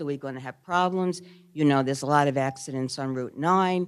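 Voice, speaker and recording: A woman talks in a Brooklyn accent at a fairly quick pace. Her pitch shows ordinary variation. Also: very clean recording, silent background. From New York, Brooklyn. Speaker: resident speaking at public meeting. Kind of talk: public comment at zoning hearing.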